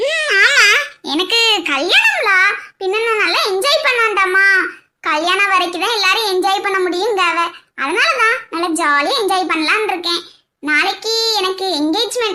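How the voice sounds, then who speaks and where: A woman's cartoonish character voice at an extremely high pitch, delivered at a fairly slow pace. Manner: playful, giggly.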